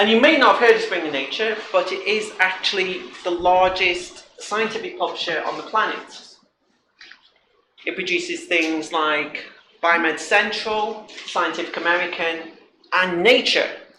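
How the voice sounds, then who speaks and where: Speaking in a British accent, a high-pitched man projects a raised voice at a moderate pace with ordinary pitch variation and audible room echo. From Britain. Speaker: front-end developer, conference speaker. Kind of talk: conference talk. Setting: stage with audience. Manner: casual, joking.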